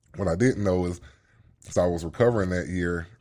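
Recorded very cleanly over a silent background, a man with a Southern US accent speaks at a very deep, low pitch. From Birmingham, Alabama. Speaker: former football player and fighter. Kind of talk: casual chat.

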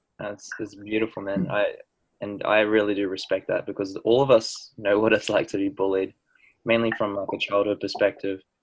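A man with an Australian accent, at a moderate pace. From New Zealand. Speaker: podcast host. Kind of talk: podcast interview.

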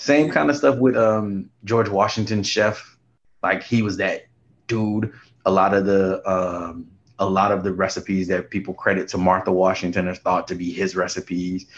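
Ordinary pitch variation marks a man's speech at a moderate pace. The background is quiet. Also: fairly low pitch for a man. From Houston / New Orleans, US South. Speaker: podcast co-host, former teacher. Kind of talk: casual chat. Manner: animated.

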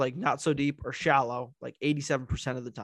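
A man speaks at a moderate pace in an unremarkable speaking voice with fairly high pitch. The sound is dry and close, with no echo. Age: 20s. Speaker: podcast host. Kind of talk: casual chat.

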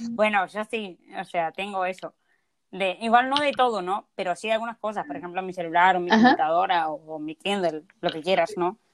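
A woman's normal speaking voice at medium pitch and a moderate pace, with ordinary pitch variation and a dry, close sound with no echo. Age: 20s. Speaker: podcast co-host. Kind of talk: casual chat.

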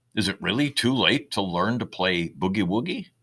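In a very clean recording with a silent background, a man with a bright, sharp tone and vocal fry speaks at a moderate pace, his pitch swinging very widely. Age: 70s. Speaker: retired lawyer and caregiver writing personal essays. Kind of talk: scripted narration. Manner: reflective, measured.

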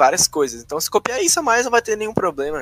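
High pitch from a man with very wide pitch swings, in a dry, close sound with no echo. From Rio Grande do Sul, Brazil. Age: 20s. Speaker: gamer. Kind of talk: casual chat.

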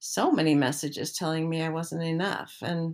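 The woman's pitch is very deep and low, and she speaks fairly slowly. The recording is very clean, with a silent background. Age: 60s. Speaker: personal essayist. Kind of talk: reading aloud. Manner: reflective.

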